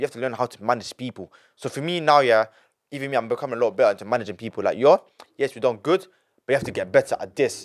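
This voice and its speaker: A man with a London accent and medium pitch, very fast and animated, with ordinary pitch variation, big swings in loudness, and a dry, close sound on a very clean recording with a silent background. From England. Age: 20s. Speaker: young entrepreneur. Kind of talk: casual interview.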